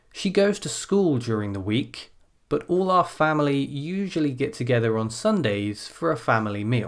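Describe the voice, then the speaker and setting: A man's fairly high voice with very wide pitch swings, on a very clean recording with a silent background. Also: moderate pace. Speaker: IELTS speaking teacher. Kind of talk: tutorial; model exam answer. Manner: clear pronunciation.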